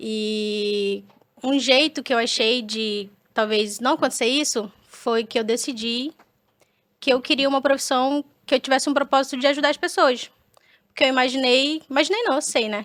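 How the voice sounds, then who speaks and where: A woman talks in a high voice whose pitch shifts in an ordinary way. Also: moderate pace. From Brazil, Manaus (Amazonas). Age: 20s. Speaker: dentist. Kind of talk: podcast interview. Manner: casual, hesitant with repetitions.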